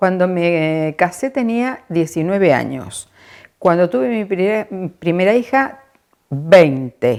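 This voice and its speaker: At a very slow pace, a woman speaks with a fairly low pitch that swings very widely. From Argentina, La Pampa (General Pico). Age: 70s. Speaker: interviewee, retiree. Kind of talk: personal testimony.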